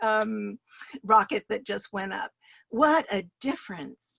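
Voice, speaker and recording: With an American accent and a fairly high pitch, a woman speaks in a dry, close sound with no echo. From New York City. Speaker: storyteller. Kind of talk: personal story performance.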